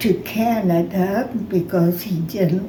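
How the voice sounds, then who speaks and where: Noticeable background noise sits behind a woman speaking at medium pitch. She talks very slowly with fairly even intonation. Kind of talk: reminiscing interview answer. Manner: slow, hesitant.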